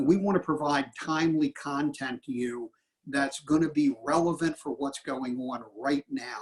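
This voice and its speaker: A plain, everyday voice at a moderate pace, with ordinary pitch variation. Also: man. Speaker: association representative, webinar co-host. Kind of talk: webinar closing remarks. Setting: online webinar.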